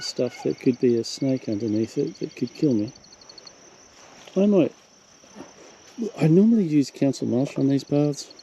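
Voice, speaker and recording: With an Australian accent, a man speaks at a fairly high pitch and a moderate pace with lively intonation and long, frequent pauses, over noticeable background noise. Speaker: wildlife vlogger. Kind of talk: casual narration to camera. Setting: outdoors.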